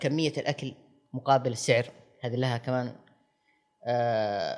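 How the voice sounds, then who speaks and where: The man's voice is medium in pitch, with fairly even intonation. He keeps a moderate pace. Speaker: restaurant critic. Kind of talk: interview. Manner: halting.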